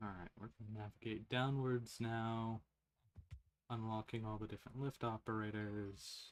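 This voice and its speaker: A man speaks quietly at a moderate pace, with a medium pitch. His intonation is monotone and flat. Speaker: gaming streamer. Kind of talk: live game stream chat. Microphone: quiet stream audio.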